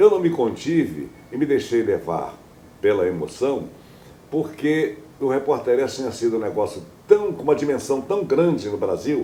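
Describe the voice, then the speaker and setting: A fairly high-pitched man at a moderate pace, with very wide pitch swings and long, frequent pauses. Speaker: radio news announcer. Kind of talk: interview answer. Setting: home living room.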